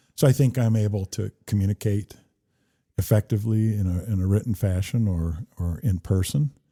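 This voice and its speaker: Recorded very cleanly with a silent background, a man with a fairly low pitch and a dark, mellow, somewhat breathy tone speaks at a moderate pace with ordinary pitch variation. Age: 60s. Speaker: political candidate, retired police chief. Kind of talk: casual interview. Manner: halting, many fillers.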